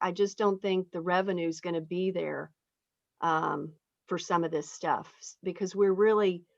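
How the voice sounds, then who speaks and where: A woman with an unremarkable speaking voice keeps to a mid-range pitch and fairly level intonation, talking at a middling pace. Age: 60s. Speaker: state legislator hosting town hall. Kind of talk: town hall discussion. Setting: video call.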